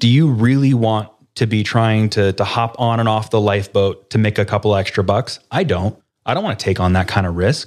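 With an ordinary speaking voice, a man speaks at a fairly quick pace in a fairly low pitch with ordinary pitch variation, on a very clean recording with a silent background. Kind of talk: interview.

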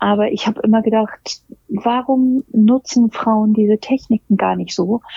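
The pace is fairly slow. A woman delivers it all in a monotone, flat intonation. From Germany, Hamburg. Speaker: make-up artist and hairstylist. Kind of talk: interview. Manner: frequent hesitations (ähm, äh).

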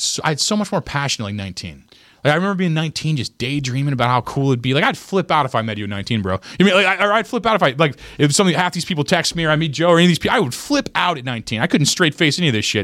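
Speaking at a very fast pace, a man with a fairly high, bright, sharp voice and vocal fry swings his pitch very widely. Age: 30s. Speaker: comedian and podcast host. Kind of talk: casual chat.

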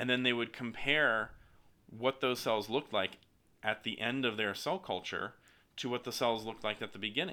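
At a moderate pace, a man with an American accent speaks at a medium pitch with ordinary pitch variation. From US South, Alabama. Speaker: professor. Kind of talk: interview. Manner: halting.

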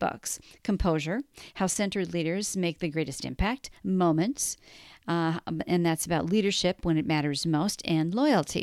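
A normal speaking voice at a moderate pace comes through in a very clean recording with a silent background and a dry, close sound with no echo. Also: woman. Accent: American. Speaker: podcast host. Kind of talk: interview, casual chat.

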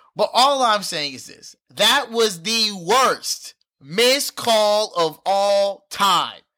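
On a very clean recording with a silent background, a man uses a raised, projected voice, high-pitched with a bright, sharp, animated tone. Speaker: podcast co-host. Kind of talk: casual chat.

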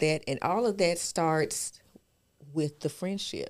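At a fairly slow pace, a woman with a normal speaking voice and fairly low pitch talks on a very clean recording with a silent background. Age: 40s. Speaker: podcast co-host. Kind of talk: casual chat.

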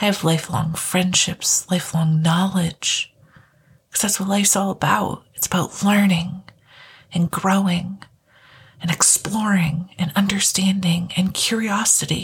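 Her pitch medium, a woman talks at a fairly slow pace with monotone, flat intonation. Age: 20s. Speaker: podcast host. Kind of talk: solo podcast monologue.

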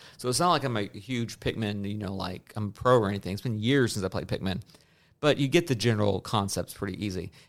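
A man at a very fast pace on a very clean recording with a silent background. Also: fairly low pitch for a man, ordinary pitch variation. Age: 30s. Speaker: podcast host. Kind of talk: casual chat.

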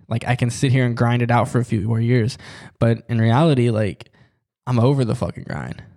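A man at a medium pitch with fairly even intonation and a moderate pace, a normal speaking voice, on a very clean recording with a silent background. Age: 20s. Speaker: podcast host. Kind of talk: casual monologue. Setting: studio.

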